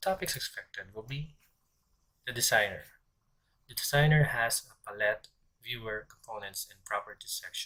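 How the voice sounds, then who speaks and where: A man speaks with big swings in loudness and long, frequent pauses. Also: moderate pace. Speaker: programming instructor. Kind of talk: screen-recorded coding tutorial. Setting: background noise.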